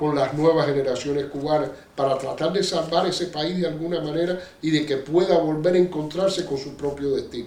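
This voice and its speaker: A man's fairly high voice at a moderate pace, with fairly even intonation, audible room echo, and noticeable background noise. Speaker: Cuban exile activist, bookseller. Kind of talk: interview.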